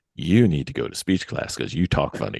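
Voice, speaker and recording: Dry and close with no echo, a man's very deep, low voice rushes at a very fast pace with vocal fry. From New Jersey, summers in North Carolina. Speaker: podcast host. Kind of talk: casual chat.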